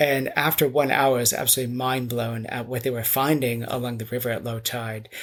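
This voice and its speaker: Fairly quick, flat, monotone delivery in an American accent, with hardly any pauses. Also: man, medium pitch for a man. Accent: American, noticeable in Britain. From US South, North Carolina. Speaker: architect and mudlarking author. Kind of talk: interview.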